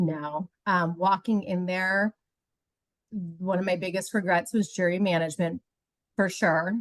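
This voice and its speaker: A woman's voice at medium pitch, with fairly even intonation and very even loudness, comes through dry and close with no echo. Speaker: reality game contestant. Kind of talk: interview.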